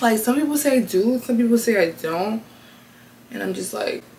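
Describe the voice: Noticeable room echo surrounds the voice of a woman.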